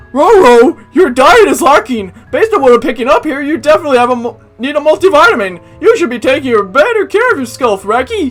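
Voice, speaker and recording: A high-pitched, put-on character voice talks at a fairly quick pace, with faint music in the background. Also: hardly any pauses. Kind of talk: teacherly, lecturing. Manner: cartoon dog voice, sniffing and scolding.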